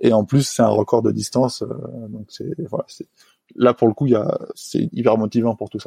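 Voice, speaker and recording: A man talks at a moderate pace, leaving long, frequent pauses. His loudness swings widely, and the sound is dry and close with no echo. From French Alps, Haute-Savoie. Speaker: highliner, tightrope walker. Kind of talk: interview testimony. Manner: hesitant, many fillers.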